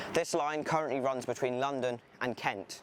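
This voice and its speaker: There is noticeable background noise as a man talks with an English accent. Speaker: railway video creator. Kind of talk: documentary presentation. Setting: outdoors at a station.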